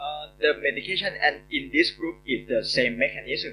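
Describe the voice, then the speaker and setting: This speaker has a Thai accent. The pace is moderate. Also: man. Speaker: urologist. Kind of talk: Q&A answers. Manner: halting.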